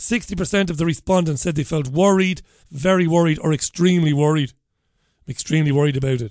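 A man with a strong Irish accent talks at a fairly quick pace in a fairly high pitch, his pitch varying in an ordinary way against a quiet background. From Ireland. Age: 50s. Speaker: radio show host. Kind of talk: casual talk radio. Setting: studio. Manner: animated.

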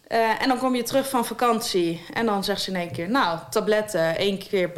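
A woman with an unremarkable speaking voice talks at a fairly high pitch with ordinary pitch variation. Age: 20s. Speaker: author with diabetes. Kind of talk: interview. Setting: her own studio.

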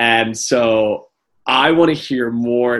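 Over a quiet background, a man with a medium pitch and ordinary pitch variation speaks in an unremarkable speaking voice. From US South (Atlanta, Georgia). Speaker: podcast co-host, dancer. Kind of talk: casual chat.

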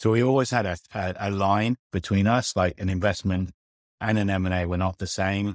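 A man's very deep, low voice at a fairly quick pace with fairly even intonation, dry and close with no echo, on a very clean recording with a silent background. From UK. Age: 40s. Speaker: fintech founder and CEO. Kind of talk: interview.

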